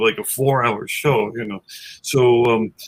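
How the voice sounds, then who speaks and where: There's a somewhat breathy quality to this voice. The man speaks in an American accent. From New York City, Queens. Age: 60s. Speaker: musician, guitarist in a tribute band. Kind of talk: casual chat. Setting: webcast.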